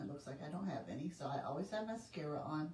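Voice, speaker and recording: A woman's pitch rises and falls very widely while noticeable noise runs in the background. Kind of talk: live sales stream. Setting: livestream at home. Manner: casual, chatty.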